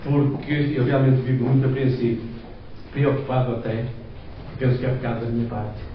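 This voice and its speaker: A man at medium pitch, monotone and flat, fairly quick yet with long, frequent pauses, plus audible room echo and noticeable background noise. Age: 60s. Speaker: lay preacher. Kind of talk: sermon. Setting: church.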